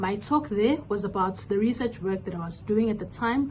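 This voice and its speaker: In audible room echo, a woman speaks at a moderate pace and medium pitch, her tone dark, mellow and somewhat breathy, with ordinary pitch variation. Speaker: science communication trainer. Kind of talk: recorded video message.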